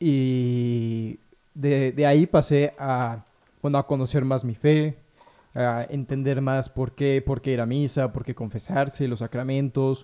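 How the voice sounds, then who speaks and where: Fairly even intonation and medium pitch from a man, a normal speaking voice. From Mexico, Puebla. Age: 20s. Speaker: novice in religious order. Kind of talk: radio discussion.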